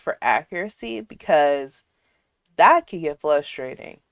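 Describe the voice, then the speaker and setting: A woman with a plain, everyday voice speaks at a fairly slow pace with lively intonation. The sound is dry and close with no echo, on a very clean recording with a silent background. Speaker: livestream host reacting to a video. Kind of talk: casual livestream commentary.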